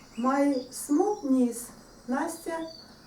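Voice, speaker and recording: Over noticeable background noise and audible room echo, a woman speaks at a high pitch. Her pace is very slow. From Odessa, Ukraine. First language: Russian. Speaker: author. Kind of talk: book presentation.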